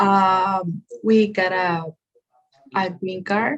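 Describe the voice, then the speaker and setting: Somewhat breathy, a woman speaks at a medium pitch with a Spanish accent. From Guatemala, Guatemala City. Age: 20s. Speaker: nursing student. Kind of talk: interview. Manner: hesitant, many fillers.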